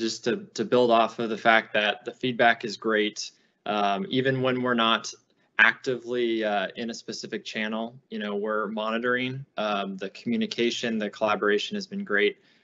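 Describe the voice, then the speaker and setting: His delivery is neither fast nor slow. The pitch rises and falls in a typical way for this man. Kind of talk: panel answer. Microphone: video call.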